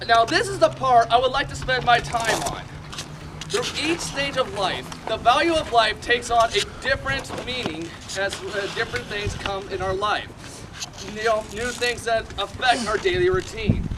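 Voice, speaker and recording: With lively intonation and an extremely high pitch, a man talks at a moderate pace over noticeable background noise. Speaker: ministry speaker giving a message. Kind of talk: sermon-style testimony talk to a live audience. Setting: outdoors at an airsoft field.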